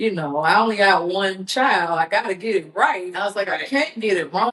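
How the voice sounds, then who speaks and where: Her pitch medium, a woman speaks at a moderate pace with lively intonation. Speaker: entrepreneur and nonprofit founder. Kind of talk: podcast interview. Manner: loud.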